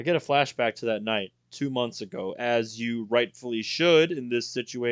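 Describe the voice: Someone reads aloud in a plain way, with pitch that varies in an ordinary way. Nothing much can be heard behind the voice.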